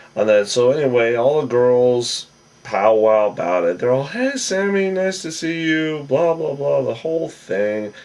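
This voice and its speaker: A man's lively intonation at a fairly slow pace, over noticeable background noise. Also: medium pitch for a man. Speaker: TV show recap vlogger. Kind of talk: casual recap monologue. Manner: casual, hesitant with fillers.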